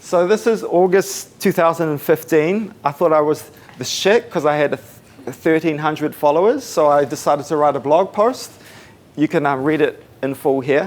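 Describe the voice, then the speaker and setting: There is noticeable background noise as a man talks with a New Zealand accent. His pitch is fairly high and his pace moderate. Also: ordinary pitch variation. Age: 20s. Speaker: musician and social media consultant. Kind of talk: talk at a meetup. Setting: room with live audience, no microphone. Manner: casual, uses fillers. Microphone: no microphone, may be hard to hear.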